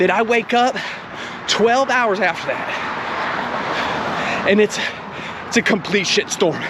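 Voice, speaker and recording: Over noticeable background noise, a man speaks at a very slow pace with long, frequent pauses, his extremely high pitch held at very even loudness. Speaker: triathlete vlogger. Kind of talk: vlog monologue while running. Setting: outdoors, running on trail. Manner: soft-spoken.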